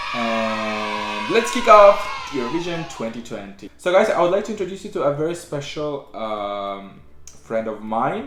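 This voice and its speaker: Over noticeable background noise and audible room echo, a man talks at a fairly slow pace with very wide pitch swings. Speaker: YouTuber reacting to music. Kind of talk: casual vlog intro. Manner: halting, with many fillers; trying to speak slowly.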